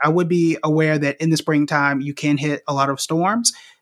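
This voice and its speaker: A man with an American accent and an unremarkable speaking voice talks at a fairly high pitch and moderate pace, with a dry, close sound with no echo. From Oklahoma, Tulsa. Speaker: investing educator. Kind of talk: casual chat.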